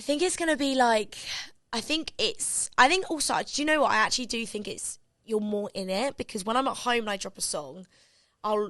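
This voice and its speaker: A woman speaks with a British accent and lively intonation. Her pace is fairly quick. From England. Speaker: pop singer. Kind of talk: interview. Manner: fast, filler-heavy.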